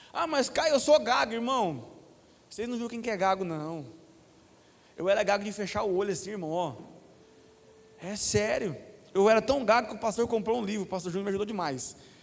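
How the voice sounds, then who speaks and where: A man's high, very fast delivery with lively intonation and audible room echo. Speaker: preacher. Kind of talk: sermon.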